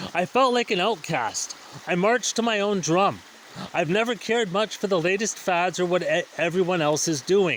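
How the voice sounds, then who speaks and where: Over noticeable background noise, a man with a high voice keeps a moderate pace, very even loudness and ordinary pitch variation. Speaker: spiritual vlogger. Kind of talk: personal reflective monologue.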